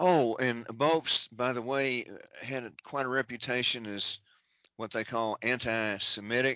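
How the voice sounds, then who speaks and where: At a fairly slow pace, a man speaks with fairly even intonation and a medium pitch. He has a normal speaking voice. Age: 60s. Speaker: researcher and writer. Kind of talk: interview, reading long lists of names.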